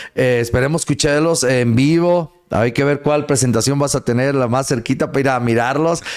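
Over a quiet background, a man with an unremarkable speaking voice talks at a moderate pace with very even loudness, fairly even intonation and hardly any pauses. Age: 40s. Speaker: radio host. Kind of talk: casual chat. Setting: studio. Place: studio. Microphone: studio mic.

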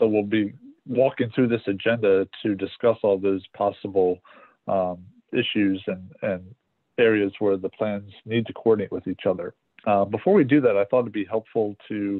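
Against a quiet background, a man with a plain, everyday voice talks in a fairly low pitch at a moderate pace, with fairly even intonation. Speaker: meeting facilitator. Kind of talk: meeting presentation. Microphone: video call.

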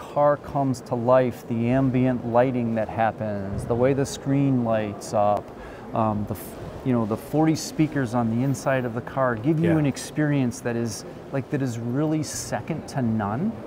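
Speech unfolds at a moderate pace. Behind it, background noise is noticeable. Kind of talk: interview answer. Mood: enthusiastic promotional. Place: hall.

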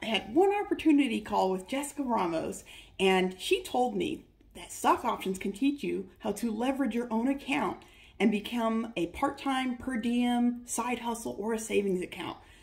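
With an American accent, a woman speaks at a moderate pace in a fairly high pitch with lively intonation. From US West Coast, Northern California Bay Area. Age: 30s. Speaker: trading course student. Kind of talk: testimonial. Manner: animated. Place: home room. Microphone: phone near.

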